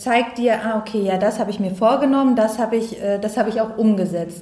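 There's audible room echo around a woman's fairly high voice. Her intonation stays fairly even. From northeastern Germany, Neustrelitz. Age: 30s. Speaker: life coach. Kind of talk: podcast interview.

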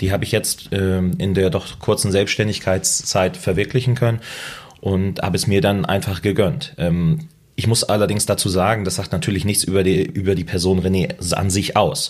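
This man has a fairly low pitch and ordinary pitch variation. He talks at a moderate pace. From northern Germany. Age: 20s. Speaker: loan broker. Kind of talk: interview. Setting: in person.

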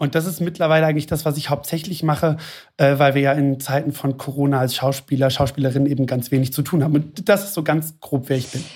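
A man speaks very fast in a somewhat breathy voice with fairly even intonation. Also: fairly high pitch for a man. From Hesse, near Frankfurt am Main. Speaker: flight attendant, actor and blogger. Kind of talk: interview conversation.

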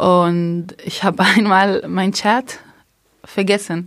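A woman's very slow, fairly even speech in an Arabic accent, on a very clean recording with a silent background. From Palestine, near Haifa. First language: Arabic (speaking German). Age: 30s. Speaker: primary school childcare worker. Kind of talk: interview testimony.

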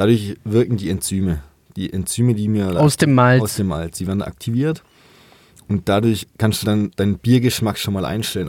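A man speaks with a dark, mellow tone and fairly low pitch. His pitch varies in an ordinary way, and his pace is moderate. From southwest Germany, Rottweil area. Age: 20s. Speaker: master brewer. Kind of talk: casual chat. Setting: studio.

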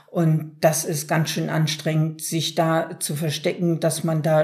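Somewhat breathy, this woman's voice sits very deep and low, with a dark, mellow tone. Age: 60s. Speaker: self-help group member. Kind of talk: interview.

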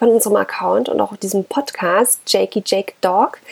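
The sound is dry and close, with no echo. The speaker is a woman. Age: 30s. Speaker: dog-owner podcaster. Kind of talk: casual monologue. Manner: hesitant, many filler sounds.

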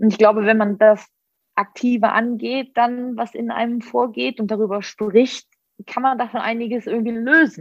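A woman's voice sits fairly high in pitch as she talks at a moderate pace. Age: 30s. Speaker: psychology graduate and social media creator. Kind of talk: casual chat. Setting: video call.

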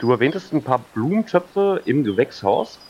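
A man with a somewhat breathy voice talks using lively intonation. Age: 30s. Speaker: game show contestant. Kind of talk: casual role-play game.

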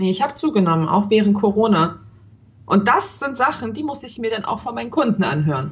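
Over noticeable background noise, a woman speaks fairly quickly at a fairly high pitch, her voice swinging very widely up and down. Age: 30s. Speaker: cam performer, podcast co-host. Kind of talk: casual chat.

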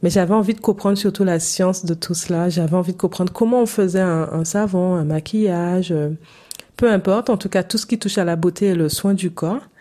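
With a plain, everyday voice, a woman talks at a fairly quick pace and medium pitch with fairly even intonation. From Saint-Martin, Caribbean. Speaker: English coach. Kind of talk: solo podcast monologue, coaching pitch.

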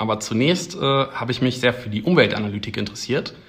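Here is a man with an ordinary speaking voice. He talks at a medium pitch and a fairly quick pace. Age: 20s. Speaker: PhD researcher in battery science. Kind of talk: casual interview.

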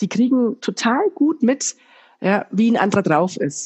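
The woman sounds somewhat breathy. Lively intonation runs through her speech. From Germany, Bayreuth (Upper Franconia). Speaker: business coach and trainer. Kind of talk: podcast interview. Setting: remote call.

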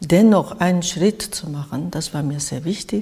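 A woman with a Japanese accent, fairly low pitch, a very slow pace and noticeable background noise. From Japan, by the sea. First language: Japanese (speaking German). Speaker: artist. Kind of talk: interview. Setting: artist's studio.

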